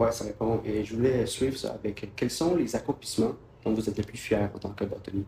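Speaking at a fairly quick pace, a man uses fairly even intonation. His tone is dark and mellow, and somewhat breathy. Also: medium pitch for a man. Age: young. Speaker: student podcast host. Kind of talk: interview.

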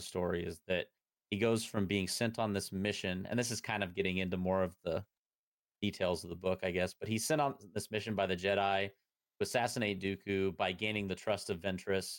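A man with a normal speaking voice talks at a fairly low pitch and fairly quick pace with fairly even intonation, on a very clean recording with a silent background. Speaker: podcast host. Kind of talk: casual chat.

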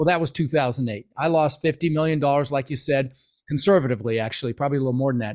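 Very fast American-accented speech from a man with a fairly high pitch and ordinary pitch variation, on a very clean recording with a silent background. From Netherlands, moved to US at six. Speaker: real estate investor. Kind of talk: interview. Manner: animated.

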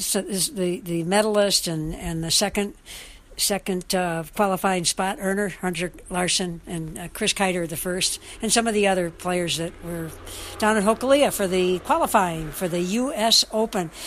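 A woman has a normal speaking voice, talking at a moderate pace with a medium pitch and ordinary pitch variation. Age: 60s. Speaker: sports radio host. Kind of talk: sports talk show.

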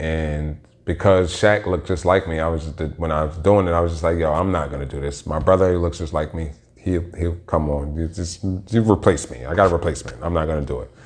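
A very deep, low-pitched man at a very fast pace amid noticeable background noise. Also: fairly even intonation. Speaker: podcast host. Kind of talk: casual solo monologue. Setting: solo home recording.

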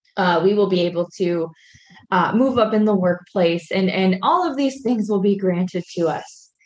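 This is a plain, everyday voice: a woman at medium pitch with ordinary pitch variation. She keeps a moderate pace and very even loudness. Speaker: pastor and podcast co-host. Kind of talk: casual podcast conversation.

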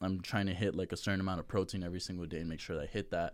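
The speaker has an American accent and a monotone, flat intonation at a very fast pace. The recording is very clean, with a silent background. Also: man. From Las Vegas, US West. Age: 20s. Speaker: powerlifter. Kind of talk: casual chat.

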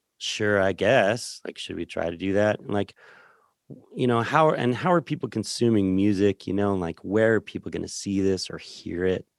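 A man with a plain, everyday voice speaks at a fairly low pitch and a moderate pace, with an American accent and ordinary pitch variation. The recording is very clean with a silent background, and the sound is dry and close with no echo. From rural Colorado, San Luis Valley. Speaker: musician and record producer. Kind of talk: casual interview chat.

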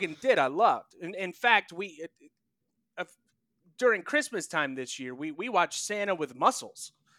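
A man with a high, bright, sharp voice talks at a fairly quick pace, his pitch swinging very widely and his loudness rising and falling a great deal, in a dry, close sound with no echo. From North Carolina, US South. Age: 30s. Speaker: video producer, podcast guest. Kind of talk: casual chat.

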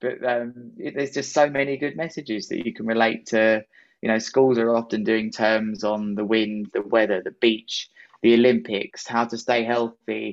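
With a southern English accent, a man talks at a moderate pace and medium pitch, keeping his intonation fairly even. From southern England, Worthing (West Sussex). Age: 30s. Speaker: pro kitesurfer and motivational speaker. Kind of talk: casual interview.

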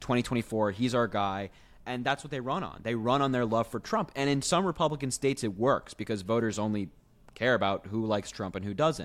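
A man's unremarkable speaking voice at a medium pitch, with a fairly quick pace and ordinary pitch variation. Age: 20s. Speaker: political podcast co-host. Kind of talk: casual political chat. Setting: video call.

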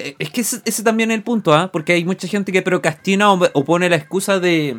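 A man with a Chilean accent at a moderate pace, with music in the background. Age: 30s. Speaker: radio show host. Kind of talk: casual chat. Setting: studio.

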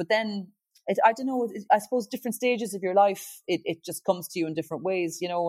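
A woman with a Kerry accent at a fairly quick pace with ordinary pitch variation, in a dry, close sound with no echo on a very clean recording with a silent background. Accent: Kerry Irish. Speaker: singer-songwriter and TV talent show judge. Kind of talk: interview.

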